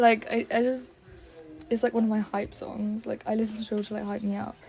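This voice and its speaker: Soft-spoken and fairly quick, a woman talks at a fairly high pitch with monotone, flat intonation. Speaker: focus group participant. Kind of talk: casual chat.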